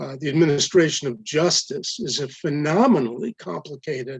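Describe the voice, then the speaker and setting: At a moderate pace, a man speaks somewhat breathily. His pitch is fairly high. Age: 70s. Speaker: adjunct professor testifying. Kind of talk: public hearing testimony. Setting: public hearing, live streamed.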